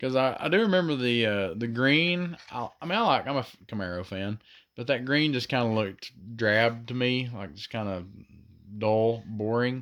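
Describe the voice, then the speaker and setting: A man of medium pitch with a Southern US accent and lively intonation, in a very clean recording with a silent background. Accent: southern drawl. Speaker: diecast toy collector youtuber. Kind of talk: casual product review. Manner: hesitant, many fillers and repeats.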